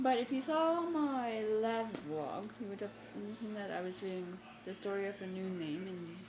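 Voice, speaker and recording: At a fairly slow pace, a woman speaks at medium pitch with lively intonation against noticeable background noise. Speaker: book vlogger. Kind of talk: casual talk to camera.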